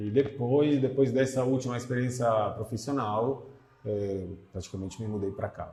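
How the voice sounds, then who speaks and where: A man with an Italian accent, medium in pitch, fairly even in intonation, at a moderate pace. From Italy, Milan area. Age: 50s. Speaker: English teacher. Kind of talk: interview.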